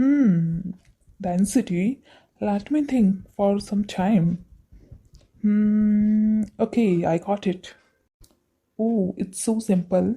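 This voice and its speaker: A woman speaks at a very slow pace, with long, frequent pauses and ordinary pitch variation. Her medium-pitched voice is somewhat breathy, with a dark, mellow tone. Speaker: English practice presenter. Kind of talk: scripted dialogue practice.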